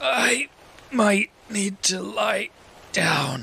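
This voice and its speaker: A raspy, put-on character voice. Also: man, high pitch for a man. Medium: read story.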